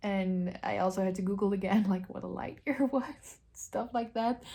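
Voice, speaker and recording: Her tone dark and mellow, a woman with a non-native accent sounds somewhat breathy and shows ordinary pitch variation. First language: not English. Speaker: book vlogger. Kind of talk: casual vlog.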